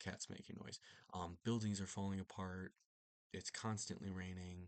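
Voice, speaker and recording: This man is soft-spoken, with a very deep, low pitch and monotone, flat intonation. The sound is dry and close, without echo. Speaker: book reviewer. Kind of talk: casual book review monologue. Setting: at home late at night. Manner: soft-spoken, talking quietly; hesitant, many fillers.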